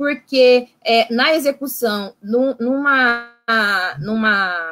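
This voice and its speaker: A woman's high-pitched voice with a Brazilian accent. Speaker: psychologist in social assistance services. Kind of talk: online panel discussion.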